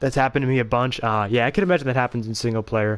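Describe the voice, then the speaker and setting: The pace is very fast, with fairly even intonation. The background is quiet. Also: man. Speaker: gaming streamer. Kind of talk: casual livestream chat while gaming.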